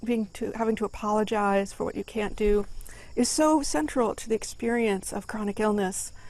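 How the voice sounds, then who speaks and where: A plain, everyday voice moves at a fairly quick pace. The recording is very clean, with a silent background. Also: woman. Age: 40s. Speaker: poet. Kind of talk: poetry reading introduction. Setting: outdoors. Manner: conversational.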